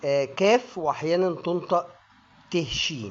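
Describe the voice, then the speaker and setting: A man with an Egyptian accent talks at a very slow pace. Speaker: English pronunciation teacher. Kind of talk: educational lesson to camera.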